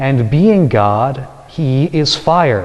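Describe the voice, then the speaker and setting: Noticeable background noise runs under speech with lively intonation. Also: man. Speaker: Dominican friar. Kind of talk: homily preached to a congregation.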